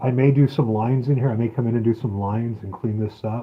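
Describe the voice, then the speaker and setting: Somewhat breathy, a man speaks at a medium pitch. His pace is fairly quick. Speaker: live streamer and homesteader. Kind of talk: casual live stream chat. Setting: outdoors on homestead, solar setup. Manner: hesitant, filler-heavy. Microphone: weak rural connection.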